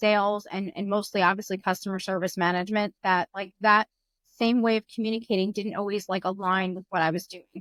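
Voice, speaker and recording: At a fairly quick pace, a woman speaks at medium pitch with fairly even intonation. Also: dry, close sound with no echo. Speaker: pest control customer service executive. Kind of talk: podcast interview. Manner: fast.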